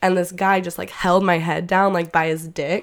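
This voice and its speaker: A woman with an American accent speaks at a moderate pace in a plain, everyday voice. The recording is very clean, with a silent background. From Oklahoma. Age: 20s. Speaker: theater student. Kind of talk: casual interview.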